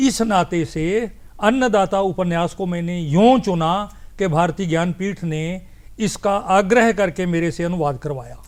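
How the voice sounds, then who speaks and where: With the background silent and the recording very clean, a man speaks in a high voice that varies in pitch in an ordinary way. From Punjab, India. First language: Punjabi (speaking Hindi). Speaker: poet and translator. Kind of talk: TV interview.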